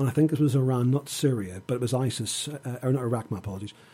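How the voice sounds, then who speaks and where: Somewhat breathy and dark, mellow in tone, a man speaks at a medium pitch and a very fast pace. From Northern Ireland. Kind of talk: radio interview. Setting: studio.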